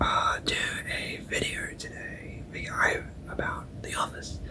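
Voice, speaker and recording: Whispering in a relaxed tone at a very slow pace, the voice comes through noticeable background noise. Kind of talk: whispered ASMR review ramble to camera. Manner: whispering, relaxed, hesitant with fillers.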